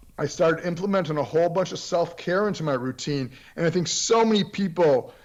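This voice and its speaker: Against a quiet background, a man with an unremarkable speaking voice and an American accent speaks at a fairly high pitch. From Florida. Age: 60s. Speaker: periodontist and martial artist. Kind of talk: podcast interview.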